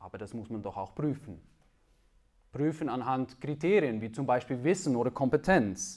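On a very clean recording with a silent background, a man with a Dutch accent speaks at a moderate pace in a medium-pitched voice, with lively intonation, big swings in loudness and long, frequent pauses. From Netherlands. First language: Dutch (speaking German). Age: 30s. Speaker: preacher. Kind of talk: sermon. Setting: church.

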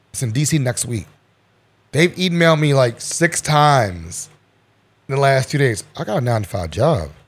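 Pausing long and often, a man with an American accent talks at a moderate pace in a somewhat breathy, medium-pitched voice with very wide pitch swings. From Baltimore, Maryland. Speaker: podcaster. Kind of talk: casual chat.

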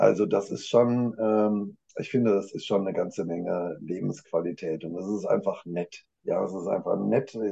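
Speaking with hardly any pauses, a man keeps a moderate pace. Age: 50s. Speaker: management consultant. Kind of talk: casual chat.

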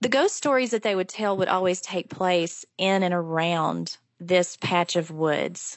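A woman speaks with an Appalachian accent, her pitch moving in an ordinary way and hardly any pauses breaking her speech. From Appalachia (southwest Virginia). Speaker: professor of Appalachian studies. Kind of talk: interview.

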